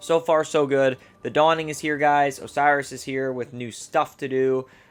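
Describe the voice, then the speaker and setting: With music in the background and big swings in loudness, a man with a fairly high voice speaks at a moderate pace in a flat monotone. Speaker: gaming video creator. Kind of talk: gameplay tutorial. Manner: stumbling over words; casual.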